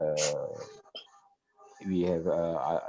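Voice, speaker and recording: This man speaks with an Indonesian accent. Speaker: newspaper editor. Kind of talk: panel discussion. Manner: halting.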